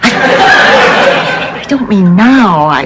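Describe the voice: In a put-on character voice, a woman at medium pitch uses a fairly bright tone with big pitch swings, and audible room echo is present.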